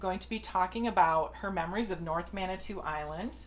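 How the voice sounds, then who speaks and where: A woman speaks with a plain, everyday voice at a medium pitch. Her intonation stays fairly even. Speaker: oral history interviewer. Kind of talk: interview questions.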